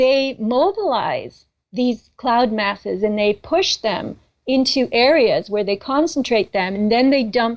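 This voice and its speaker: A woman's high-pitched voice at a fairly slow pace, with lively intonation. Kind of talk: radio interview answer.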